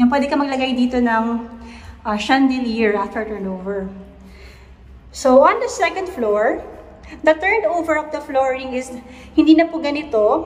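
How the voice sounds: With audible room echo around her, a woman talks at a high pitch. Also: ordinary pitch variation, moderate pace.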